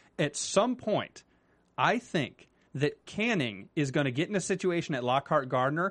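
A plain, everyday voice with lively intonation comes through over a quiet background. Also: man. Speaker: TV after-show co-host. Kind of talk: casual chat. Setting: studio.

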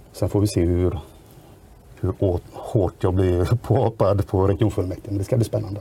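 A man speaks at a moderate pace in a plain, everyday voice, fairly low in pitch. His intonation is fairly even and his loudness very even. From Sweden, Västra Götaland. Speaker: local politician. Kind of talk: podcast interview.

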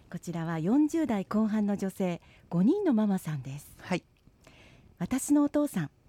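A woman's somewhat breathy, dark, mellow voice at medium pitch, fairly slow, with very wide pitch swings, big swings in loudness, and a dry, close sound with no echo. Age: 50s. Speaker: radio host. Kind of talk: casual radio talk.

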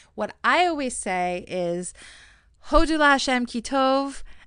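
Lively intonation marks this woman's speech in an American accent. Her tone is bright and sharp. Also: quiet background. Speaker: professional organizer and podcast host. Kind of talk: solo podcast talk.

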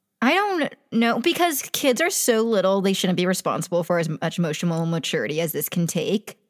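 A woman at medium pitch talks fairly quickly with hardly any pauses. Her tone is animated and her intonation lively. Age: 20s. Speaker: podcast co-host. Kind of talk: casual chat.

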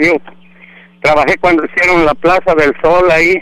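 A man's high-pitched, bright, sharp voice at a moderate pace, with fairly even intonation. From Mexico, Jalisco. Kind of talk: casual chat.

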